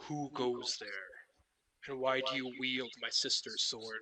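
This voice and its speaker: Putting on a booming character voice, a man talks at a fairly slow pace and a medium pitch. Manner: commanding, demanding.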